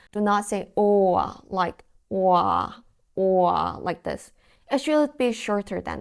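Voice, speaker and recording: Someone with a Korean accent talks at a very slow pace in a very clean recording with a silent background. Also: woman. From South Korea. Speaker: language teacher. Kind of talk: tutorial.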